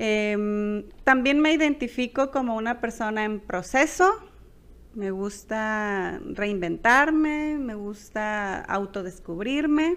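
Against a quiet background, a woman with a fairly high voice talks at a very slow pace. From Culiacán, Sinaloa, Mexico. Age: 30s. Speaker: high school teacher and podcast co-host. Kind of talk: casual chat. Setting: homemade recording at home. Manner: hesitant, many fillers.

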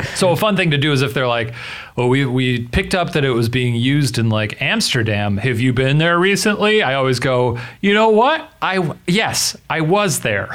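Audible room echo surrounds a man whose medium-pitched voice makes very wide pitch swings while its loudness stays very even. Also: moderate pace. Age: 30s. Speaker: advice podcast co-host. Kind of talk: casual chat.

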